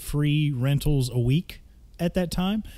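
In a Southern US accent, a man with a fairly high pitch and an animated tone talks at a fairly slow pace with ordinary pitch variation. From Mississippi. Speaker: podcast host. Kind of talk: call-in show banter.

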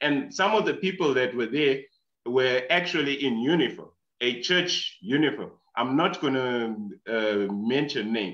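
Using an ordinary speaking voice, a man at medium pitch talks at a fairly slow pace with lively intonation. His loudness stays very even. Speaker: audience participant. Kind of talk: question in online discussion. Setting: video call.

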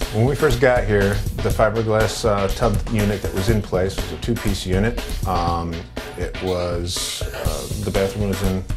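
Fairly slow speech from a man, clear music underneath. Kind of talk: interview answer. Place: bathroom. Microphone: lapel.

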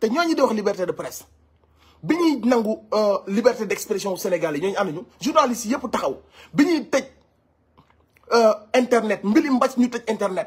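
Against a quiet background, the delivery is animated and moves at a moderate pace, with lively intonation broken by long, frequent pauses. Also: man, extremely high pitch for a man. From Senegal. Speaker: online commentator. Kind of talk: commentary. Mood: serious, indignant. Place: home room. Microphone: phone near.

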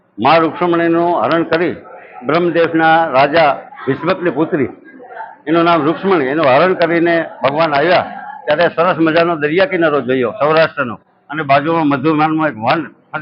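This man's voice sits fairly high in pitch, and his intonation stays fairly even. Noticeable background noise runs behind him. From Saurashtra, Gujarat (Porbandar area village). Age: 50s. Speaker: villager at religious fair. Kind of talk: interview storytelling.

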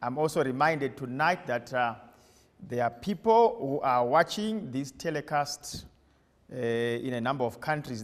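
A man speaking at a moderate pace. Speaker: preacher. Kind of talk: sermon. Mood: warm, smiling greeting. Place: church. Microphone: lapel.

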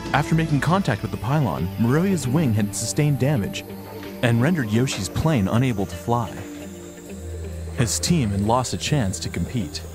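A man speaks at a medium pitch, with very wide pitch swings. Music plays in the background. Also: moderate pace. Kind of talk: sports documentary narration.

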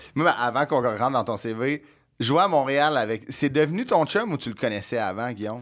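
A man with a Quebec accent against a quiet background. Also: ordinary pitch variation, moderate pace. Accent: Québécois French. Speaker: podcast host. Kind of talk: casual chat. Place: studio. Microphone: studio mic.

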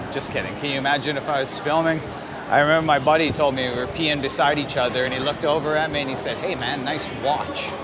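A man talks at a very fast pace with a Western Canadian accent and fairly high pitch. Loud background noise runs behind him. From Canada, Vancouver; Canada. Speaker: travel vlogger. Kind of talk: casual vlog narration. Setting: outdoors at stadium. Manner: animated. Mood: playful, joking. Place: stadium. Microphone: phone near.

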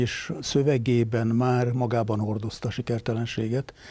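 At a moderate pace, a man speaks with a dark, mellow tone in a dry sound with no echo. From Hungary. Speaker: retired army general. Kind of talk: interview. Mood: calm, reflective. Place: studio. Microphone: lapel.

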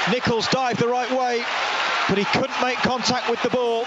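A man at a moderate pace, the sound dry with no echo, amid loud background noise. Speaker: match commentator. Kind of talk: live football commentary, brisk play-by-play that swells into excitement at goals. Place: stadium.

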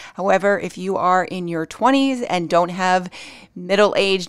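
Quiet surroundings and a woman's dry voice with no echo. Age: 40s. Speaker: beauty YouTuber. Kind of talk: product review tutorial. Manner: casual with frequent fillers. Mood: friendly, relaxed.

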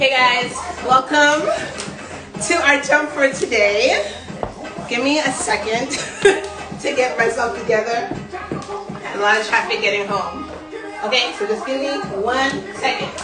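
A woman speaks in a raised, projected voice at a fairly slow pace. Her long pauses come often, with clear music playing in the background. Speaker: fitness instructor. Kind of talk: live workout coaching chat. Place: home room.

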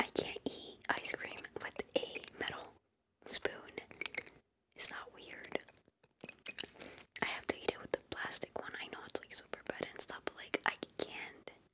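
A soft-spoken woman whispering, with long, frequent pauses and loud background noise. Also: fairly slow pace. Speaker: beauty vlogger. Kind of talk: casual vlog chat. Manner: soft close ASMR whisper, chewing gum. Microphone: phone near.

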